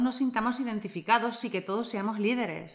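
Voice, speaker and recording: At a moderate pace, a woman talks in a plain, everyday voice with fairly even intonation. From Argentina. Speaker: podcast co-host. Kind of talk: podcast interview.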